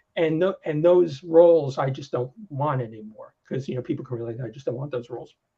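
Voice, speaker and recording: A man's fairly high, somewhat breathy voice with a dark, mellow tone, fairly quick, with ordinary pitch variation. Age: 60s. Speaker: software developer and technical writer. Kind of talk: casual chat. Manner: halting, many restarts.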